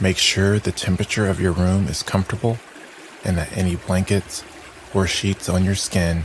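Over noticeable background noise, a man with a very deep, low pitch speaks in a gentle, calm tone, with monotone, flat intonation, very even loudness and long, frequent pauses. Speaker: meditation guide. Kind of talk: guided meditation. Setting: audio recording for sleep listening. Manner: slow, calm, soothing; gentle, hushed, with long pauses.

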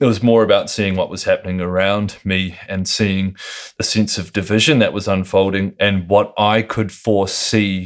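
This man has a New Zealand accent and a fairly low pitch, speaking at a moderate pace. His intonation is monotone and flat, and the recording is very clean with a silent background. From New Zealand (Lower Hutt, near Wellington). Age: 30s. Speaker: skateboarder and woodworker. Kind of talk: casual interview over beers. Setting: recorded in his home.

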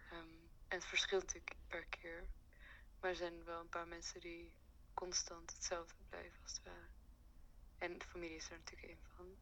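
The speaker keeps a moderate pace. Long pauses come often. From Afghanistan / Iran. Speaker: art student. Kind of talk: interview.

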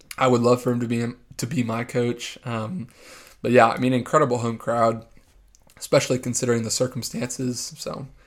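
A man's monotone, flat delivery in an American accent, on a very clean recording with a silent background. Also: medium pitch for a man. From Texas, San Antonio. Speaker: sports podcast co-host. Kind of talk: casual chat.

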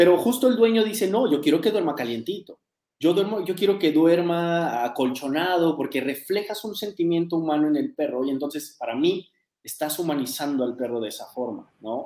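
A man's high-pitched voice with a dark, mellow tone, lively intonation and a moderate pace. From Mexico City. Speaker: dog trainer. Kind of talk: interview conversation.

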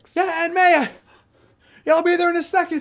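A strained, extremely high-pitched put-on character voice in monotone, flat intonation, at a moderate pace. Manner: strained, effortful as if flipping and swinging.

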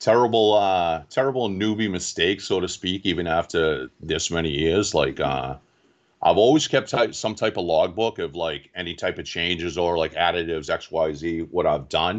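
A man with a Boston accent talks at a moderate pace in a very deep, low pitch. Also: ordinary pitch variation. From Boston area, Massachusetts (Quincy). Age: 40s. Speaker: reef club president, aquarium hobbyist. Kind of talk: casual interview.

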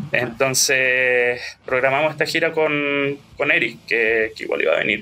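A man with a Chilean accent speaks over noticeable background noise. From Chile, Ñuble region (Bulnes, Chillán). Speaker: musician. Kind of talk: interview.

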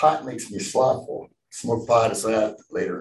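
A somewhat breathy man's voice at a moderate pace. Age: 60s. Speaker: recovering alcoholic speaker. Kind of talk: testimony.

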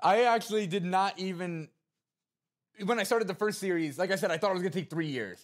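Loud and animated, a man with an American accent talks at a very fast pace in a high pitch with ordinary pitch variation. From New Jersey. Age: 20s. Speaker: content creator. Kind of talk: casual interview chat. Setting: gaming arena studio.

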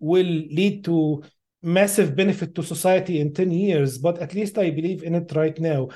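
Over a quiet background, a speaker with an Arabic accent talks at a moderate pace in a dark, mellow tone with fairly even intonation. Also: man. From Middle East. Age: 50s. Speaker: AI researcher. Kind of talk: interview.

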